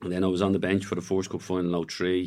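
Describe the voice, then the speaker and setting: In an Irish accent, the speaker goes at a very fast pace on a very clean recording with a silent background. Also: man. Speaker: retired footballer. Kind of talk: casual chat. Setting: studio.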